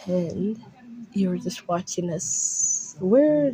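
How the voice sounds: The natural reading voice moves with lively intonation.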